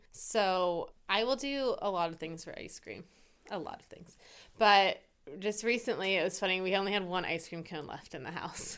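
An ordinary speaking voice from a woman at medium pitch, moderate pace and ordinary pitch variation, on a very clean recording with a silent background. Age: 30s. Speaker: podcast co-host, behavior analyst. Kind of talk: casual chat.

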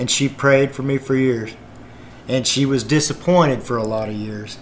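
Amid noticeable background noise, a man of medium pitch speaks at a moderate pace with fairly even intonation. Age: 50s. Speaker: gospel singer and former truck driver. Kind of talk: testimony.

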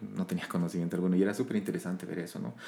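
This man's voice sits very deep and low. It has a dark, mellow tone. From Bolivia, La Paz. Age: 30s. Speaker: countertenor and voice teacher. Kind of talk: casual interview chat.

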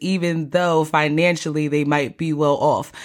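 At a fairly slow pace, a woman with an unremarkable speaking voice talks at a fairly low pitch on a very clean recording with a silent background. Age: 30s. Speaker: podcast host. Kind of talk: casual monologue.

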